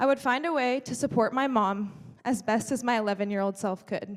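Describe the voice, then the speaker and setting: A woman's fairly high voice with an American accent, ordinary pitch variation and a moderate pace. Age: 20s. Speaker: speaker. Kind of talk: keynote speech. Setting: stage with audience.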